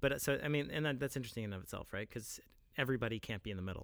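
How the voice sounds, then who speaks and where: A man with a medium-pitched voice speaks with lively intonation on a very clean recording with a silent background. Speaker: co-host, English professor. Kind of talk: casual chat about faith. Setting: studio.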